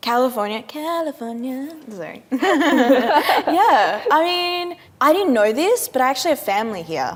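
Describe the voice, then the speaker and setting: With noticeable background noise behind her, a woman with an Australian accent talks fairly slowly at a high pitch, her voice swinging very widely up and down. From Western Australia. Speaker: actor. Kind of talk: casual chat.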